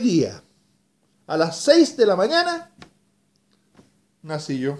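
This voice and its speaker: Very slow speech with very wide pitch swings and long, frequent pauses. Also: man. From Chile. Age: 60s. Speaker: radio announcer. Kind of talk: personal video message. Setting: at home. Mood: emotional, grateful, reflective. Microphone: webcam.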